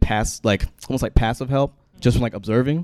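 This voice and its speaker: Recorded with a dry, close sound and no echo, a man talks at a fairly quick pace and a medium pitch with ordinary pitch variation. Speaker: panel moderator. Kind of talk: panel discussion. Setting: stage with audience. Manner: casual and halting.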